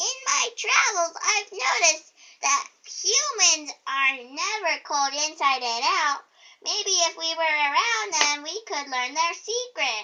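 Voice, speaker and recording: A woman's put-on character voice, squeaky and extremely high, raised and projected, with very wide pitch swings at a fairly slow pace. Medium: read story.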